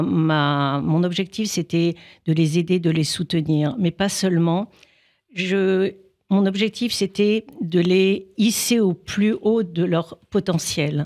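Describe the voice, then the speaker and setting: Speaking very slowly at a fairly low pitch, a woman keeps her loudness very even and her pitch variation ordinary in a very clean recording with a silent background. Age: 60s. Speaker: couples therapist and life coach. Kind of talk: interview. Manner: halting, many hesitations.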